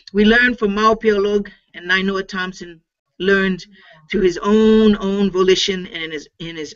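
Against a quiet background, a woman speaks with a Hawaiian accent. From Hawaii, Oahu. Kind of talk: lecture. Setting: video call. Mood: earnest, inspirational.

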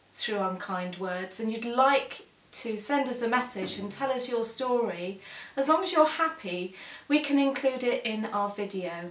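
With audible echo from the room, a woman talks fairly slowly. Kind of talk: casual vlog announcement. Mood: warm, earnest. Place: home room. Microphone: camera far.

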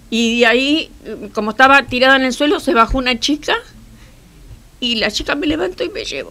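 A woman with a high, bright, sharp voice projects it loudly at a fairly quick pace, using lively intonation and long, frequent pauses. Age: 70s. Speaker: victim of a street robbery. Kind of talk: interview answer. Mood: shaken, recounting an assault. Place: studio.

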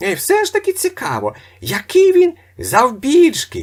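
A man uses a put-on character voice with extremely high pitch. He speaks at a moderate pace. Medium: read story. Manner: prying, wheedling.

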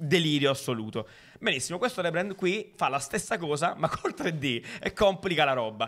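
The recording is very clean, with a silent background. The speaker talks at a moderate pace with lively intonation. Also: man, high pitch for a man. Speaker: design podcast co-host. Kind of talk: casual chat.

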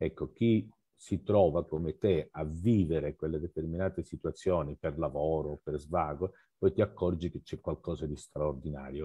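A very deep, low-pitched male voice at a moderate pace over a quiet background. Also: ordinary pitch variation. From Calabria, southern Italy. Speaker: photo magazine organizer. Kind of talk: casual discussion. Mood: warm, appreciative. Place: home room. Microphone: headset.

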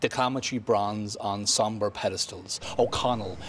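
Over noticeable background noise, a man with a Dublin accent speaks at a moderate pace with fairly even intonation. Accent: Dublin Irish. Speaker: slam poet. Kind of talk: poetry reading.

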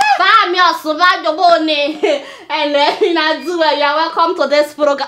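A woman with a Nigerian accent speaks at an extremely high pitch. Her voice is raised and projected over light background noise. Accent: Nigerian (Yoruba) English. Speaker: satirical news show host. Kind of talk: comedic news commentary. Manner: animated. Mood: outraged, mocking humor. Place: studio.

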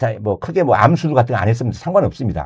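A man's dark, mellow, somewhat breathy voice with very wide pitch swings. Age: 60s. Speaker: insurance agent. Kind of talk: casual chat.

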